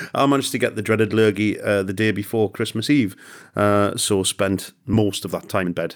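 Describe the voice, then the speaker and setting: This man has a British accent and a fairly low pitch. He talks at a fairly quick pace. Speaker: football podcast host. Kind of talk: casual chat. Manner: jokey.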